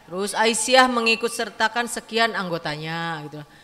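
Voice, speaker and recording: Speaking at a fairly quick pace, a woman with a fairly high pitch uses a bright, sharp tone and ordinary pitch variation. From West Java, Sundanese area (Dayeuhluhur). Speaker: community women's organization leader. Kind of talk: welcome speech. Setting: community hall event with audience. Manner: casual, conversational.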